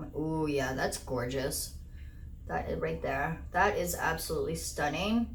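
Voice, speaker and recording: Fairly slowly, a woman speaks amid audible room echo and noticeable background noise. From Portuguese-speaking country. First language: Portuguese. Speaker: beauty YouTuber. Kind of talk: unboxing video, casual chat. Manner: enthusiastic; halting on words.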